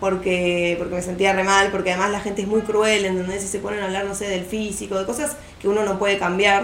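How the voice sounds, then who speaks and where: At a moderate pace, a woman speaks with a medium pitch and fairly even intonation, with audible room echo and noticeable background noise. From Argentina, Buenos Aires southern suburbs. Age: 20s. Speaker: architecture student. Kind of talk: casual chat.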